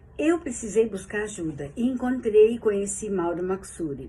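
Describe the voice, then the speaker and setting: A woman's somewhat breathy voice, dark and mellow in tone, at a fairly slow pace. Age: 70s. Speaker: yoga teacher and therapist giving a testimonial. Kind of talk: testimony.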